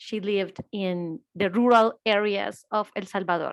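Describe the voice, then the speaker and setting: A woman with a Spanish accent, dry and close with no echo, in a very clean recording with a silent background. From Colombia. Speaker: reproductive rights lawyer. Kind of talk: panel presentation.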